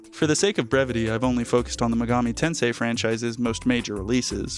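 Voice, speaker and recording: Music sits in the background while a man speaks at a fairly quick pace and a medium pitch. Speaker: video essayist. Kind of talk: video essay narration. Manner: flat, drab.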